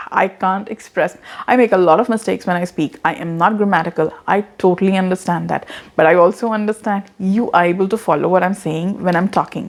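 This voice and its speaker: A woman speaks at a fairly quick pace in a medium pitch, her intonation fairly even. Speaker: content marketing strategist. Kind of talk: vlog tutorial. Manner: casual, repeats words.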